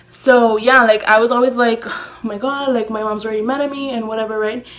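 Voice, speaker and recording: A woman speaks in an animated tone at a fairly high pitch. Noticeable background noise is present. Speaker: beauty YouTuber. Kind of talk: storytime vlog. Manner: fast.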